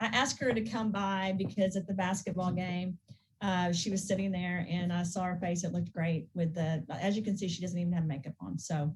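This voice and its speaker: Somewhat breathy, a woman speaks at a medium pitch and a fairly quick pace with fairly even intonation. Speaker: skincare business founder. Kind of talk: casual chat.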